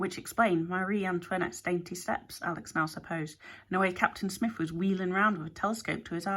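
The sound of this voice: The intonation stays fairly even. The delivery is an unforced reading voice.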